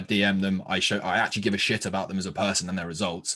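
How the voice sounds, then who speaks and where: Fairly low-pitched male voice in an English accent, very fast and animated in tone. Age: 20s. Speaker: fitness coach and podcast host. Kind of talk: casual interview chat.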